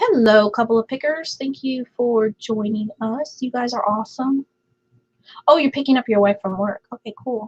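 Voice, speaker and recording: Speaking at a moderate pace with ordinary pitch variation, a woman with a high voice comes through in a dry, close recording with no echo. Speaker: live stream host. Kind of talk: casual chat with live chat viewers. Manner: quieter than intended.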